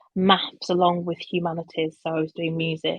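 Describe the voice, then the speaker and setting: A woman speaks with a slight Birmingham accent. Her pitch is fairly low and her pace moderate. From England, Birmingham. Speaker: communications professional. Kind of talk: conference talk. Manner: hesitant, many fillers.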